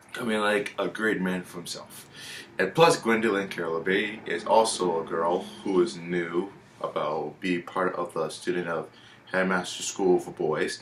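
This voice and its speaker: Noticeable background noise sits under the speech. A man talks at a moderate pace. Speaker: YouTuber reviewing a TV series. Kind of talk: casual monologue review. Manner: halting.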